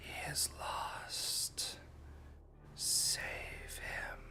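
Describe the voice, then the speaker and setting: Someone whispers in a put-on character voice. Loud background noise fills the clip. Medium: actual play.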